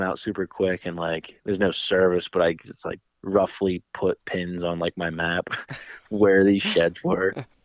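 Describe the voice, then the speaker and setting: A man with a very deep, low pitch speaks in a monotone, flat way at a moderate pace. The sound is dry and close with no echo, and the background is quiet. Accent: American. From central Pennsylvania. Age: 20s. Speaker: fishing guide and hunter. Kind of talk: casual chat.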